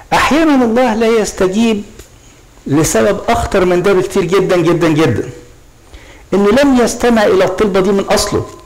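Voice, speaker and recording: With an Egyptian accent, a man speaks at a high pitch with ordinary pitch variation and very even loudness at a moderate pace over light background noise. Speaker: priest; priest preaching. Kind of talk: sermon. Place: church.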